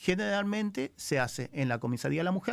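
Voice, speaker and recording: With a Rioplatense accent, a man speaks at a moderate pace on a very clean recording with a silent background. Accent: Argentine Spanish (rioplatense). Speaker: criminal lawyer. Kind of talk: radio interview. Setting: radio studio.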